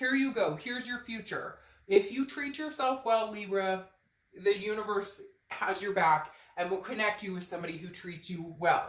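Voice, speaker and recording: The speaker's lively intonation comes with big swings in loudness at a moderate pace, and audible room echo surrounds the voice. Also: woman, medium pitch for a woman. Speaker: tarot reader. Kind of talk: tarot reading. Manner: animated.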